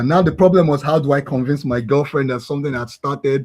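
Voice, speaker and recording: Here a man speaks at medium pitch with ordinary pitch variation. His voice is somewhat breathy. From Nigeria, Lagos. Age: 40s. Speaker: blockchain developer and founder. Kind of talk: interview.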